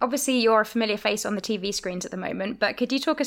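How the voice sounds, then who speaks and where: With vocal fry, a woman speaks at a very fast pace on a very clean recording with a silent background. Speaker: podcast host. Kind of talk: interview.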